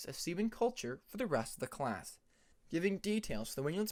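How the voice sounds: A natural reading voice with lively intonation carries the words.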